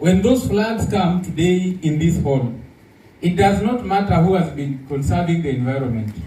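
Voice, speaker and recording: The man's pitch is fairly high and swings very widely. He speaks at a moderate pace with audible room echo. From Kenya. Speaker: conference speaker, government official. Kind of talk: conference talk. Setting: conference hall with audience.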